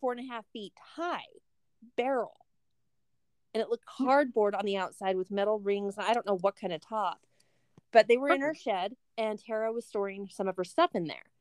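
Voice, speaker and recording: A woman's fairly high voice at a moderate pace, with ordinary pitch variation and long, frequent pauses. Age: middle-aged. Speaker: podcast co-host.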